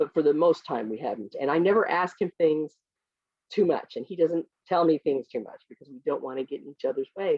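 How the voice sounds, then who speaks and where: A woman talks with an American accent in an ordinary speaking voice. Her pitch is fairly low, and her loudness swings widely. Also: lively intonation, fairly quick pace. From US Midwest, small village. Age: 60s. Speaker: children's book author. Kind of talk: author Q&A with school classes.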